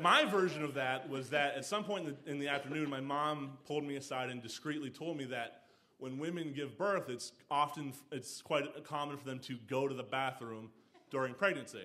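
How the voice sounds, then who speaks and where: This man's voice is fairly high in pitch. He keeps a moderate pace with ordinary pitch variation. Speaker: standup comedian and storyteller. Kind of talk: live storytelling performance. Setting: live stage with audience. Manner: hesitant, conversational, humorous.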